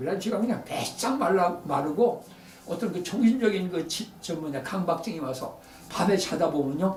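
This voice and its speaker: Over noticeable background noise and audible room echo, a man talks at a high pitch with lively intonation. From Korea, Daejeon area. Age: 80s+. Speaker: photographer. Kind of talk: talk to an audience. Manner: halting.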